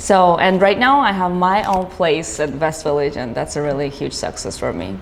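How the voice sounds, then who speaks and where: Against noticeable background noise and audible room echo, a woman speaks at a moderate pace. Her fairly low voice has lively intonation. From Georgia (country). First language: Georgian. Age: 20s. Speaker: business owner. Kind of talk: interview. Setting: studio. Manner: halting, with many fillers.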